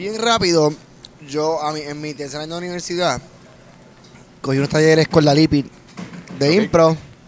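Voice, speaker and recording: A man with a fairly high pitch talks at a fairly quick pace, his loudness swinging widely, with long, frequent pauses and noticeable background noise. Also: ordinary pitch variation. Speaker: comedian and actor. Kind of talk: casual chat. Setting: restaurant.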